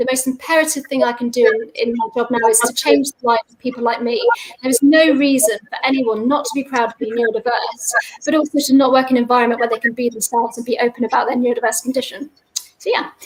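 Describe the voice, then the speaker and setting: At a very fast pace, a woman with a high pitch keeps her intonation fairly even while her loudness swings widely. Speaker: salesperson and neurodiversity speaker. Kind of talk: personal testimony talk.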